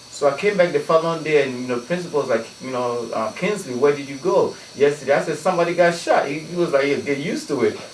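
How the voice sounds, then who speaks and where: Over noticeable background noise, a man talks at a very fast pace with hardly any pauses, a fairly high pitch, ordinary pitch variation and big swings in loudness. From Ghana. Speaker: DJ and anti-violence activist. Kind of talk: radio interview. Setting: radio studio. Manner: halting, many fillers.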